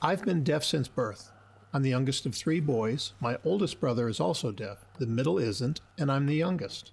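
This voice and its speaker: Recorded very clean against a silent background, a man with a fairly high, somewhat breathy voice speaks at a moderate pace with lively intonation. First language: American Sign Language. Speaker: sign language interpreter. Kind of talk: interpreted voice-over of signed conversation.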